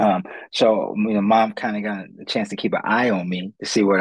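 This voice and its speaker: A man with an American accent speaks at a fairly low pitch with ordinary pitch variation, in an unremarkable speaking voice. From Ohio, US Midwest. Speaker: motivational speaker and career counselor. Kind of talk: interview.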